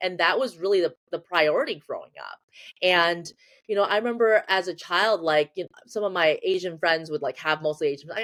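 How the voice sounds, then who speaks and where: Her pitch swinging very widely, a woman with an American accent speaks at a fairly quick pace. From US Midwest, Ann Arbor, Michigan. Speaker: psychologist. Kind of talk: interview conversation.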